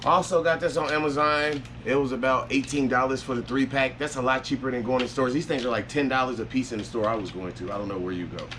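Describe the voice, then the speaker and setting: A man's medium-pitched voice moves at a very fast pace with ordinary pitch variation as noticeable background noise carries on. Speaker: vlogger documenting surgery recovery. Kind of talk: casual vlog. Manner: casual, rambling with fillers.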